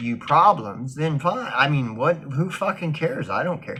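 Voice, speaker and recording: Loud and lively in intonation, a man speaks in a fairly high voice with a bright, sharp tone. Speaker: vlogger. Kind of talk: casual monologue. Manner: halting, many fillers and restarts.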